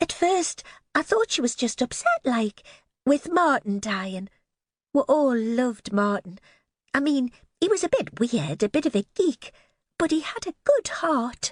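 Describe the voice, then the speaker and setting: In a put-on character voice, a woman speaks with a high pitch, very wide pitch swings, and a shaky, nervous tone. Her pace is moderate, broken by long, frequent pauses. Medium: read story. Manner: nervous, trembling.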